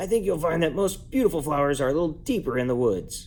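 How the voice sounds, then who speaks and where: A man puts on a raspy character voice at a fairly high pitch. He talks at a very fast pace over clear background noise. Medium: read story. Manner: smooth, scheming.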